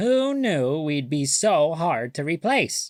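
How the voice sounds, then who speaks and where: In a put-on character voice, a man speaks with a fairly high pitch at a fairly slow pace on a very clean recording with a silent background. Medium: read story.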